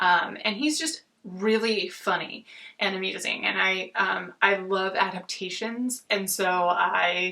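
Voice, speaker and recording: Very slow speech from a woman with an American accent, medium in pitch, bright and sharp in tone, with ordinary pitch variation. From Oakland, California, USA. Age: 40s. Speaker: book reviewer. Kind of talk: casual talk to camera. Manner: frequent filler words.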